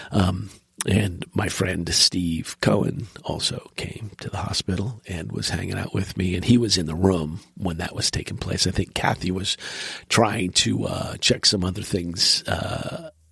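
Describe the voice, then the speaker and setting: A man speaks at a very deep, low pitch with ordinary pitch variation. His pace is fairly slow, with noticeable background noise behind him. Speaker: podcast host recovering from stroke. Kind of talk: casual chat. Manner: halting.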